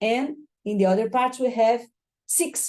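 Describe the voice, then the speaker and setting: A woman with a Brazilian Portuguese accent, a dark, mellow tone and fairly high pitch, at a fairly quick pace with fairly even intonation against a quiet background. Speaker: architecture professor and researcher. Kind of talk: academic lecture. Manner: fast; halting, self-correcting.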